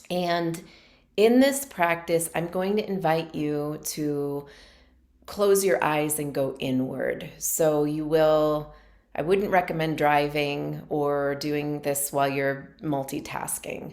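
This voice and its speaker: The speech comes at a very slow pace in a calm tone. Intonation stays fairly even, and audible room echo surrounds it. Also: woman, very deep, low pitch for a woman. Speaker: meditation teacher. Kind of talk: guided meditation; casual talk to camera. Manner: calm, slow.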